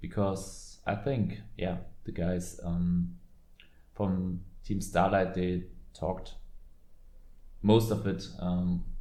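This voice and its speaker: A man's very deep, low voice with a dark, mellow tone, very slow pace, long, frequent pauses, fairly even intonation and audible room echo. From Germany. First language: German. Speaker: card game content creator. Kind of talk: casual commentary video. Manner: halting, many fillers.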